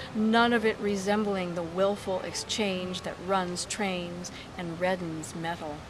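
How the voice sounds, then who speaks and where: A woman talking at a very slow pace, with noticeable background noise. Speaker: poet. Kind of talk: poetry reading. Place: garden. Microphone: phone near.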